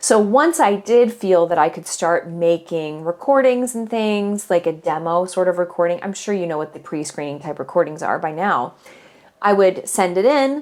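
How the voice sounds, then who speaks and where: With an American accent, a woman speaks at a medium pitch and a moderate pace, her tone animated and her intonation lively. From US Midwest. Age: 40s. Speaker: podcast host and voice teacher. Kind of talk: casual podcast monologue.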